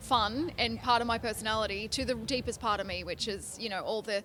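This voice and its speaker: A woman with an Australian accent speaks at a moderate pace in a bright, sharp tone with vocal fry and ordinary pitch variation. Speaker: country singer-songwriter. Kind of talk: interview. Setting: industry convention in Nashville.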